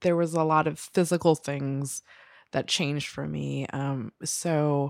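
In a very clean recording with a silent background and a dry, close sound with no echo, a woman with an American accent speaks at a very deep, low pitch. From New Jersey. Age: 30s. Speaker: freelance writer. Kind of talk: casual interview.

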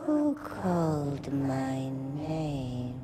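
Put on as a character voice, the low-to-middle pitched delivery comes with clear background noise and hissing. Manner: hissing, commanding.

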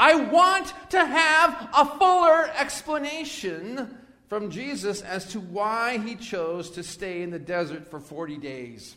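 A man talks in a raised, projected voice at a high pitch, with very wide pitch swings and big swings in loudness. His pace is very slow, with hardly any pauses. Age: 60s. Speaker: pastor. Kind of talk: sermon. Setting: church.

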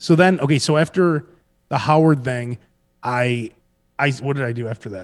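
In a Chicago accent, the voice moves at a moderate pace with ordinary pitch variation, big swings in loudness and long, frequent pauses, on a very clean recording with a silent background. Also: man, medium pitch for a man. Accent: Chicago American. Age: 40s. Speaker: radio host. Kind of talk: casual chat.

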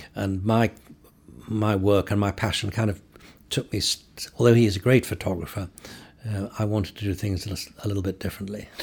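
A man with a fairly low pitch and a somewhat breathy voice talks at a fairly quick pace with fairly even intonation. His speech has long, frequent pauses. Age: 70s. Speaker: photographer. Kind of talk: interview. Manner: halting.

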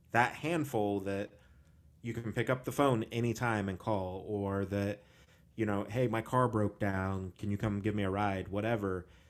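A man talks at a moderate pace in an unremarkable speaking voice. His pitch is fairly low and his intonation fairly even. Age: 30s. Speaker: podcast host. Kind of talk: casual chat. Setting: video call.

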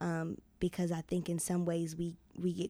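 A woman with an American accent and a fairly low pitch speaks at a moderate pace in a dark, mellow tone with monotone, flat intonation, recorded very cleanly against a silent background. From Denver, Colorado. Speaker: nursing student and camp volunteer. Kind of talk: interview.

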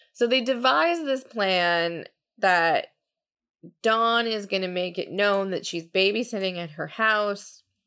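In a very clean recording with a silent background, a plain, everyday voice speaks with ordinary pitch variation. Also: woman. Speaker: podcast co-host. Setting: casual podcast recording while drinking cocktails.

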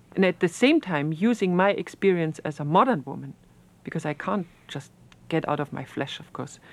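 A woman with a German accent speaks at a moderate pace. Her pitch is fairly low, and her intonation is lively. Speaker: historian. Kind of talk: interview. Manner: halting.

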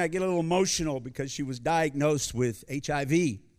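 On a very clean recording with a silent background, a man with an American accent and a plain, everyday voice speaks at a fairly high pitch and a fairly quick pace with lively intonation. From US. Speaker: visiting preacher. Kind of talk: sermon. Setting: church.

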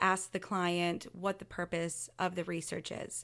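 On a very clean recording with a silent background, a woman talks at a moderate pace in medium pitch. She has an unremarkable speaking voice. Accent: American. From US Gulf Coast. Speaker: historic preservation consultant. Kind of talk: interview.

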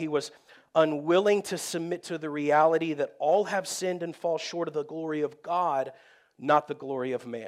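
This man has a normal speaking voice, fairly high in pitch, moving at a moderate pace with fairly even intonation. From Texas. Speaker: pastor. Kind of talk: sermon. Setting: church.

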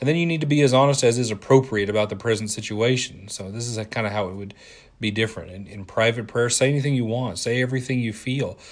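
A man's medium-pitched voice, fairly even in intonation, at a very fast pace against a quiet background. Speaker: preacher. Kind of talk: sermon, seminar-style with audience participation. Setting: church with congregation. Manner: informal, conversational, hesitant with many fillers and restarts.

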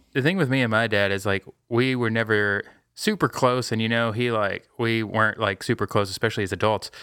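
Recorded very cleanly with a silent background and a dry, close sound with no echo, a man speaks fairly quickly at a medium pitch with fairly even intonation and a bright, sharp tone. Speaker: podcast host. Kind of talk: casual chat.

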